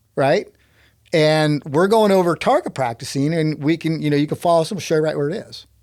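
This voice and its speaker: In a Texan accent, a man talks at a fairly quick pace with a fairly high pitch and ordinary pitch variation, on a very clean recording with a silent background. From Texas. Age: 60s. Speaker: climber and inventor. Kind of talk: casual storytelling interview. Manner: animated.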